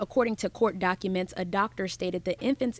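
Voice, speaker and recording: In a plain, everyday voice, the woman keeps to a medium pitch. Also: dry, close sound with no echo. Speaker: TV news reporter. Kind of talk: news package voiceover narration.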